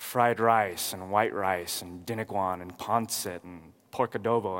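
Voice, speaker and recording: With ordinary pitch variation and a fairly low pitch, a man talks in an unremarkable speaking voice. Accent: American. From California, Watsonville. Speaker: pastor. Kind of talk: sermon.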